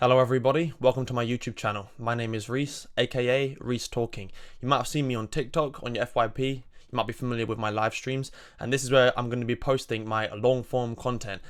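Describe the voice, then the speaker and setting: With a southern English accent, a man of medium pitch talks at a very fast pace in a flat monotone, captured in a very clean recording with a silent background. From southern England, Surrey. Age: 20s. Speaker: political commentator. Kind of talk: monologue.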